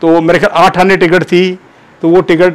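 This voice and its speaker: Pitched high, a man speaks at a moderate pace. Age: 70s. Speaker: former student paying tribute. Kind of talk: personal anecdote, storytelling. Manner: animated, conversational.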